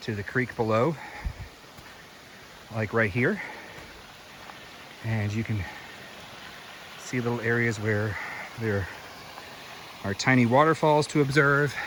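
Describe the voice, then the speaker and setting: A man with an American accent at a medium pitch and fairly slow pace, with ordinary pitch variation, long, frequent pauses and noticeable background noise. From US South, Greenville County, South Carolina. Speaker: hiking vlogger. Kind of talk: outdoor walking vlog narration. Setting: outdoors on a hiking trail. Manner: casual, conversational.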